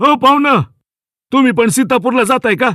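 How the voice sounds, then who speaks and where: At a fairly slow pace, a man uses a put-on character voice with an extremely high pitch and ordinary pitch variation, the sound dry and close with no echo. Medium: read story. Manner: rustic, homely.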